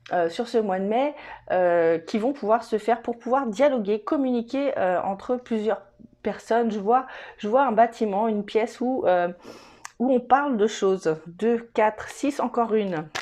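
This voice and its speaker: At a fairly slow pace, a woman with a fairly high pitch speaks in a dark, mellow tone with ordinary pitch variation. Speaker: tarot reader. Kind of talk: tarot reading to camera. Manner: hesitant, many fillers.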